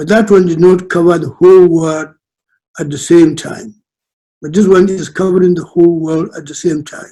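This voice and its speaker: High-pitched for a man, this voice has a dark, mellow tone. He keeps a moderate pace with fairly even intonation. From northern Nigeria. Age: 90s. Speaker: elder statesman. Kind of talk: presentation. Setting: video call. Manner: halting.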